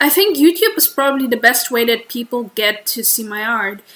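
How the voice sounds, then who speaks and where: A woman with a high pitch uses lively intonation, talking at a moderate pace. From Germany. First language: German. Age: 20s. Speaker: streamer and artist. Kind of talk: casual livestream chat. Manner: halting.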